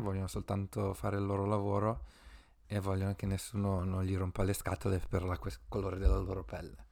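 On a very clean recording with a silent background, a man in an unremarkable speaking voice talks at a moderate pace and a fairly low pitch. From Italy. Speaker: podcast co-host. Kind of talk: casual chat.

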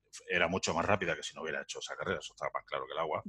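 A man's voice against a quiet background, the sound dry and close with no echo. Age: 50s. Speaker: entrepreneur. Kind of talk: interview.

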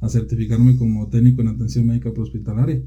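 A man talks at a very fast pace with audible room echo. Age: 30s. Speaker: volunteer firefighter commander. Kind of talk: interview. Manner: halting.

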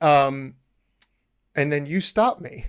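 A man has an unremarkable speaking voice with a fairly high pitch. The sound is dry and close with no echo, on a very clean recording with a silent background. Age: 30s. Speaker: podcast host and chef. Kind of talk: casual chat.

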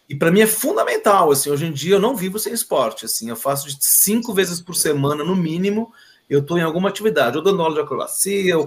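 A man with an ordinary speaking voice, at a fairly quick pace and with ordinary pitch variation. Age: 50s. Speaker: school teacher. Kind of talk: casual interview chat.

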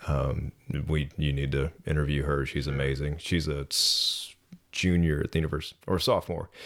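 The voice has an American accent and vocal fry, moving at a moderate pace with monotone, flat intonation. Loudness stays very even on a very clean recording with a silent background. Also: man, very deep, low pitch for a man. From North Georgia, US South. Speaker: fitness business owner. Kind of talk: casual interview.

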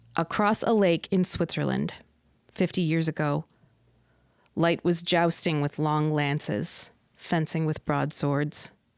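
A woman at a very deep, low pitch, very slow with long, frequent pauses, fairly even intonation and very even loudness, in a dry, close sound with no echo. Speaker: podcast host. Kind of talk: poem reading aloud, then casual chat. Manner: measured, deliberate, expressive poem reading.

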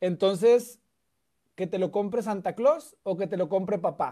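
A man with a Mexican accent, a dark, mellow tone, ordinary pitch variation and a fairly slow pace. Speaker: political content creator. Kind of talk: casual chat.

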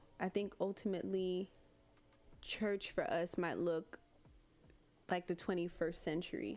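Speaking fairly slowly in an American accent, a woman keeps a medium pitch, a monotone, flat intonation, and very even loudness, with long, frequent pauses. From Miami, Florida. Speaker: podcast co-host. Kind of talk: casual chat. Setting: livestream with live chat.

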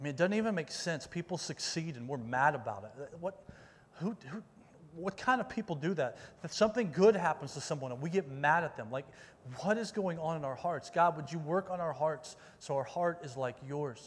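Talking at a fairly quick clip, a man with a normal speaking voice and a fairly high pitch uses lively intonation. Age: 40s. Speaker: youth pastor. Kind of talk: sermon. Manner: casual, conversational with many fillers.

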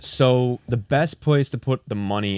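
Here a man speaks with an American accent at a moderate pace. He has a normal speaking voice. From Indiana. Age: 20s. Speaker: YouTuber and photographer. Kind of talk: casual chat.

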